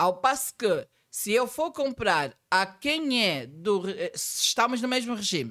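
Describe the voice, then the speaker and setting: This woman's fairly high voice has vocal fry and moves through very wide pitch swings. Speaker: accountant and tax trainer. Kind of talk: podcast interview.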